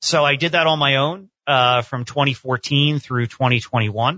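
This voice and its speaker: A man talks with a plain, everyday voice. His pitch is medium, with ordinary variation. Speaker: attorney, accountant and financial planner. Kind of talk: interview.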